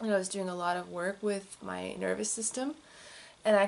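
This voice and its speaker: Soft-spoken, a woman talks at a moderate pace. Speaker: crystal enthusiast host. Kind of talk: casual talk to camera.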